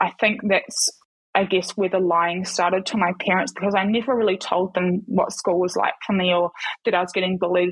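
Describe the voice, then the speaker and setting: A somewhat breathy woman in a New Zealand accent, her intonation monotone and flat, her loudness very even. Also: medium pitch for a woman, fairly quick pace. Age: 20s. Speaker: ex-Paralympic athlete and model. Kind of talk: casual interview.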